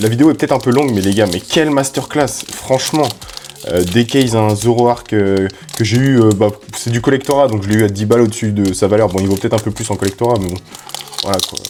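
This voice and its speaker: With music in the background, a man at medium pitch speaks in an animated tone at a fairly quick pace, with ordinary pitch variation. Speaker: Pokémon card YouTuber. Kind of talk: card opening chat. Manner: casual, animated.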